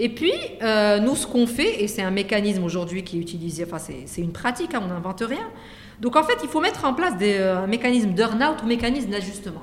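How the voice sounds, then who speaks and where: A woman's medium-pitched voice at a very fast pace, lively in intonation, with noticeable background noise. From Morocco, Casablanca. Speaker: venture capital fund executive. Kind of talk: interview conversation. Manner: hesitant with many fillers.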